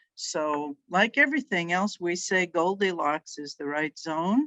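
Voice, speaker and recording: A woman speaks in an unremarkable speaking voice at a fairly low pitch, fairly slowly and with ordinary pitch variation, in a dry, close sound with no echo over a quiet background. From Northern California. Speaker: nonprofit healthcare foundation leader. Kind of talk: interview.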